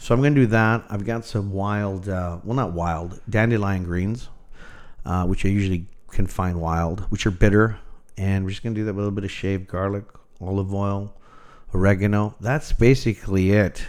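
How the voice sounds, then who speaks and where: In a Canadian accent, this plain, everyday voice moves at a moderate pace with fairly even intonation. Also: man, fairly low pitch for a man. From Toronto, Canada. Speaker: chef. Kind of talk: interview.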